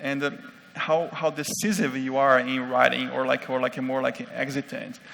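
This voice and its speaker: A man with a non-native accent speaks at a moderate pace, his pitch fairly high. His intonation is fairly even, with noticeable background noise. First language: not English. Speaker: conference speaker on UX design. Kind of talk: conference talk. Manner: halting, many fillers.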